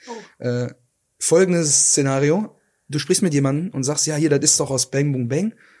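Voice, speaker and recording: With a dark, mellow tone, a man speaks at a moderate pace in a fairly high pitch, with ordinary pitch variation. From Ruhr area, Germany. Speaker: podcast co-host. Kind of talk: casual chat.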